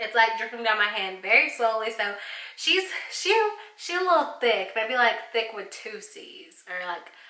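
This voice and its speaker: The woman's pitch is fairly high. Audible room echo and noticeable background noise surround her voice. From Arkansas, US South. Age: 20s. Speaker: beauty vlogger. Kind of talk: makeup tutorial review. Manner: casual, chatty.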